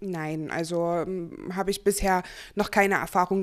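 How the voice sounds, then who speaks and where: On a very clean recording with a silent background, a woman talks at a moderate pace with a fairly low pitch. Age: 20s. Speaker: person with a chronic illness. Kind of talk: interview. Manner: hesitant, many fillers.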